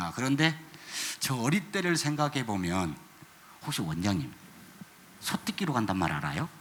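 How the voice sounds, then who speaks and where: Noticeable background noise sits behind a man who leaves long, frequent pauses. His pitch swings very widely. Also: medium pitch for a man, moderate pace. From South Korea, Jeolla region. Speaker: ecology educator. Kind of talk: panel talk at concert.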